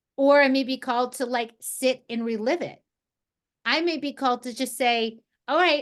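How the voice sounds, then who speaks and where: Over a quiet background, a woman with an American accent talks at a moderate pace in a high pitch with lively intonation. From New Jersey, some childhood in Texas. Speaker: energy healer. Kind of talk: spiritual group session. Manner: casual.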